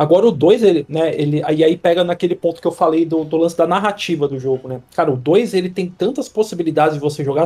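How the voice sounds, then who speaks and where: A man talks at a very fast pace with hardly any pauses, his pitch high and its variation ordinary. His tone is dark and mellow. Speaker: games reviewer. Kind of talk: casual chat.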